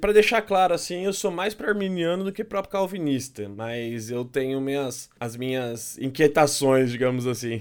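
A man at medium pitch and moderate pace, with very wide pitch swings and hardly any pauses, in a very clean recording with a silent background. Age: 30s. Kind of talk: casual chat about theology.

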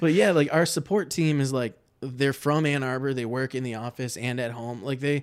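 With an American accent, a man in a plain, everyday voice speaks at a medium pitch with ordinary pitch variation, recorded very cleanly against a silent background. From Michigan, Livonia. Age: 30s. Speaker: marketer at a software company. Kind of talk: casual chat.

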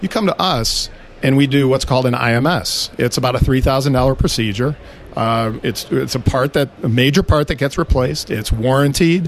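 This man has an ordinary speaking voice, medium in pitch with ordinary pitch variation, and talks at a moderate pace. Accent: American. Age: 50s. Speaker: auto repair shop owner. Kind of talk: interview.

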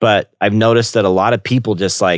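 On a very clean recording with a silent background and a dry, close sound with no echo, a man with a normal speaking voice talks at a fairly quick pace and a fairly low pitch. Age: 30s. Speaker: flight instructor. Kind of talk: guest-hosted podcast monologue.

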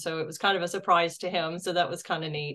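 A woman's voice at a medium pitch. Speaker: UFO investigator and state director. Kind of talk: casual interview. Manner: articulate.

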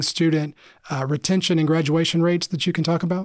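A man with a high pitch speaks in fairly even intonation. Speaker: podcast host. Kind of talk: scripted intro with casual interview.

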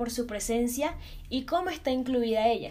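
With audible room echo, a woman talks at a moderate pace in a fairly high pitch. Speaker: podcast host. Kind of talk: casual chat.

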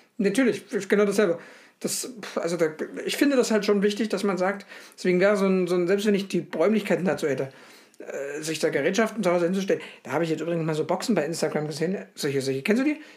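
A man talks at a very fast pace in a high voice with lively intonation. Noticeable background noise runs underneath. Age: 30s. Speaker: podcast co-host. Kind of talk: casual chat.

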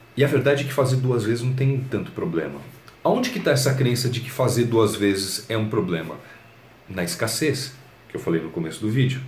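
A man at a fairly quick pace, with lively intonation and audible room echo. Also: medium pitch for a man. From Brazil, São Paulo. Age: 30s. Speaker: YouTuber and blogger on personal development. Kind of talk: motivational talk to camera. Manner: casual, conversational.

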